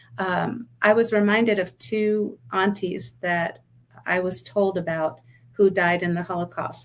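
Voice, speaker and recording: A woman with a fairly low pitch speaks in an American accent, her pitch varying in an ordinary way. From New York City, the Bronx. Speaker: accountant and business owner. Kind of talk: podcast interview.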